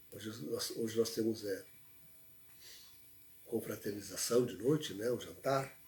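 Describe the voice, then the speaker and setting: A soft-spoken man talks at a fairly slow pace with long, frequent pauses. His medium-pitched voice is somewhat breathy, with ordinary pitch variation. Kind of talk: livestream talk. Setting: livestream. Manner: halting.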